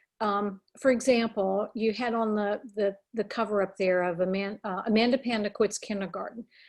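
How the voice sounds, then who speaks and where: With an unremarkable speaking voice, a woman talks at a fairly high pitch and a moderate pace. Her intonation stays fairly even, and she hardly pauses. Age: 60s. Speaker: children's book author. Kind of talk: interview.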